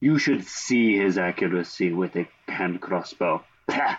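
A put-on character voice is used here. It moves at a fairly slow pace. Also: man, very deep, low pitch for a man, ordinary pitch variation. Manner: exaggerated, boastful.

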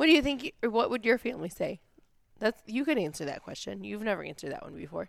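A woman talks at a very fast pace, and her loudness swings widely. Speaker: podcast host. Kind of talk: casual chat. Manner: loud at times.

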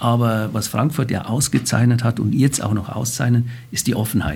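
A somewhat breathy man at a moderate pace. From Bavaria, Germany. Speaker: banker, president of a financial-centre association. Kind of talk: interview. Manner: hesitant, many filler sounds.

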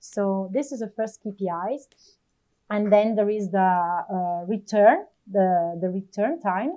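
Very slowly, a woman with an Italian accent speaks at a medium pitch with ordinary pitch variation. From Italy. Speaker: retail operations manager. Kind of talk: interview.

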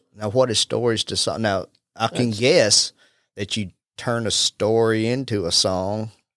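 This man is recorded with a dry, close sound and no echo, in a very clean recording with a silent background. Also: medium pitch for a man, ordinary pitch variation, moderate pace. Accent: Southern US. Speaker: real estate agent and podcast host. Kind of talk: casual chat.

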